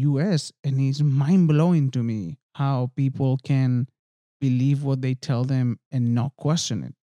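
A man speaks at a medium pitch with a non-native accent, his tone dark and mellow. His pace is fairly slow, his pitch varies in an ordinary way, and the sound is dry and close with no echo. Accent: foreign-accented English. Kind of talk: casual chat.

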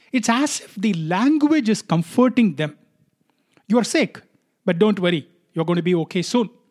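In a Tamil accent, a man speaks at a moderate pace with a high pitch and lively intonation. His speech has long, frequent pauses. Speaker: podcast host. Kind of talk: solo podcast monologue.

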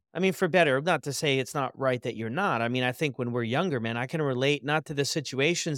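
A normal speaking voice with an American accent, ordinary pitch variation, and a dry, close sound with no echo on a very clean recording over a silent background. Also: man. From United States. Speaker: podcast host. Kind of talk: casual interview chat.

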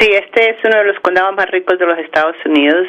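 A woman speaks with a Bogotá accent and ordinary pitch variation. Noticeable background noise runs underneath. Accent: Bogotá Colombian. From Bogotá, Colombia. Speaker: chamber of commerce leader. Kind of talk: interview.

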